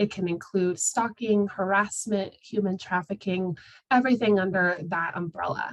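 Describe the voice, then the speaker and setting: A woman with a normal speaking voice talks at a moderate pace and medium pitch, keeping her intonation fairly even. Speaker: outreach coordinator presenting a training webinar. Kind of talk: webinar presentation. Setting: video call. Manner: many filler words (um, uh).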